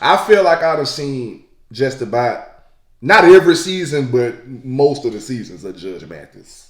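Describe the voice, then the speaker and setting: An animated man speaks with a fairly high pitch and very wide pitch swings. His loudness rises and falls in big swings. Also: fairly slow pace. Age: 20s. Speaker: YouTube reaction creator. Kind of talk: casual reaction commentary.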